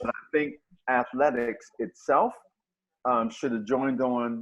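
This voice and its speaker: Here a man talks at a moderate pace and medium pitch. He uses an ordinary speaking voice. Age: 60s. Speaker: caller on sports roundtable. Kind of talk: casual panel discussion.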